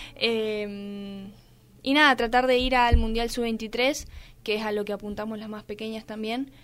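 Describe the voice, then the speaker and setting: A woman speaks at a fairly slow pace in a fairly high, monotone, flat voice. Her loudness swings a lot in a very clean recording with a silent background. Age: 20s. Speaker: athlete. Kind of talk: interview.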